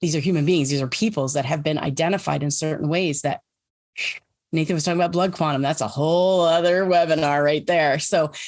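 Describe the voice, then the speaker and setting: A woman's very deep, low voice with fairly even intonation. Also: fairly quick pace, very even loudness. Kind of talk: webinar presentation. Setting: online webinar. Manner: fast; halting, many fillers.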